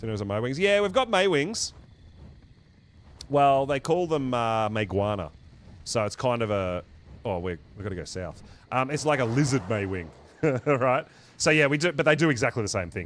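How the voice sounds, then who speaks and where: A man with an Australian accent at a medium pitch, fairly quick but with long, frequent pauses and very wide pitch swings. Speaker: gaming streamer. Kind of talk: live gameplay stream chat. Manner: casual, animated.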